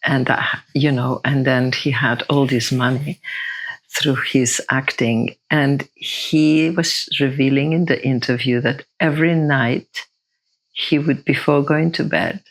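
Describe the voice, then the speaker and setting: The speaker has a non-native accent. The delivery is very slow. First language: not English. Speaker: podcast guest, spiritual seeker. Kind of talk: casual chat.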